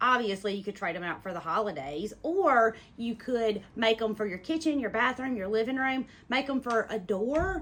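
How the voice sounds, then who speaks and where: A woman with a Southern US accent speaks at a moderate pace in a fairly high pitch, her intonation lively. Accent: Southern US, remarked on own pronunciation. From US South. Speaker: sewing teacher. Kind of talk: tutorial. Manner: casual, chatty.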